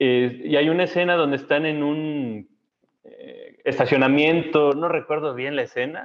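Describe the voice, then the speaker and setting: This man has a plain, everyday voice, fairly high in pitch, with ordinary pitch variation. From Mexico, Saltillo (Coahuila). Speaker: scientist and lecturer. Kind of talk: casual chat.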